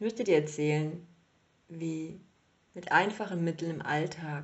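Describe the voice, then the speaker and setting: A somewhat breathy woman with a fairly low pitch. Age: 30s. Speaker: podcast host, yoga teacher. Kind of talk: solo monologue podcast.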